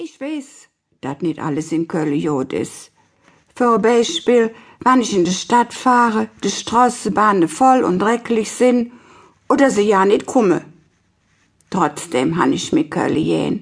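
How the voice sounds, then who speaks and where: A woman speaks at a very slow pace and medium pitch, with long, frequent pauses and very wide pitch swings. Her voice has vocal fry, and the background is quiet. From Cologne, Germany. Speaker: dialect author reading her stories. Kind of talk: audiobook reading.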